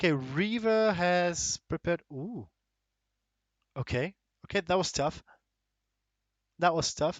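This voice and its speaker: A high-pitched man speaks at a fairly slow pace with ordinary pitch variation. Long pauses come often. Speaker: esports shoutcaster. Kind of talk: live esports shoutcasting. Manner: casual, thinking aloud.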